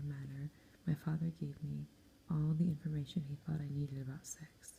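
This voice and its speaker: A soft-spoken woman's very deep, low voice, somewhat breathy, calm, dark and mellow, in a monotone, flat intonation. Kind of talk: soft-spoken audiobook-style reading of a novel, ASMR. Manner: soft-spoken, calm.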